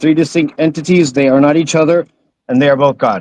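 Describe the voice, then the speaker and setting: With no echo, a man's voice has a dry, close sound. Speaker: caller. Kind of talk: debate. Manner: fast.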